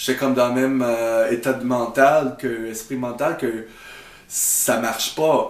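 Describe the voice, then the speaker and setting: A very slow delivery in a strong English accent, with audible room echo and noticeable background noise. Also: man. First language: English (speaking French). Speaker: YouTuber. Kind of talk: video reaction commentary. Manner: halting, many hesitations.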